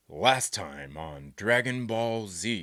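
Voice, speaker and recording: A man puts on a character voice at a fairly low pitch, with very wide pitch swings. The recording is very clean, with a silent background. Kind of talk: recap intro. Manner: dramatic, announcer-like.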